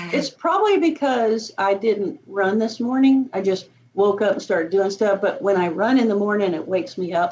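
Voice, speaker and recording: With lively intonation and hardly any pauses, a woman with a Southern US accent talks at a moderate pace and a medium pitch. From US South. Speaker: university instructor. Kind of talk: office hours chat.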